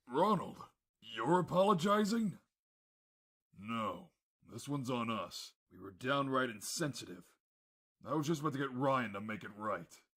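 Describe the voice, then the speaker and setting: Putting on a raspy character voice, a man speaks at a moderate pace and medium pitch, with very wide pitch swings, big swings in loudness and long, frequent pauses. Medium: audio drama. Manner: gruff, plain-spoken.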